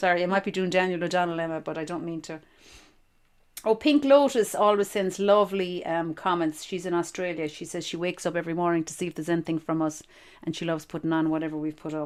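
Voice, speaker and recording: A woman with an Irish accent talks at a very fast pace in a fairly low register, her pitch varying in an ordinary way, on a very clean recording with a silent background. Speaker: podcast host. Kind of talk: casual chat.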